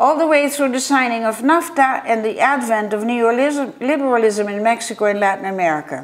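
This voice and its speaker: Delivered with lively intonation in a Dutch accent, the speech moves at a fairly quick pace with hardly any pauses. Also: woman, fairly high pitch for a woman. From Netherlands. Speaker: art historian and curator. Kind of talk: conference paper reading. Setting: virtual conference. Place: home room. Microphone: webcam.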